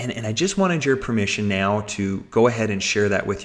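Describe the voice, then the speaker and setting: Animated in tone, a man with a medium-pitched voice speaks fairly quickly with ordinary pitch variation. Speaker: webinar presenter. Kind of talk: sales pitch. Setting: webinar call. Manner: fast.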